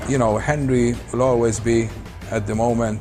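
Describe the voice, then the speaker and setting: A man speaks at a medium pitch and a moderate pace, his intonation flat and monotone. Noticeable background noise runs underneath. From Malta. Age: 70s. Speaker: professional snooker player. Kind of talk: interview. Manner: halting.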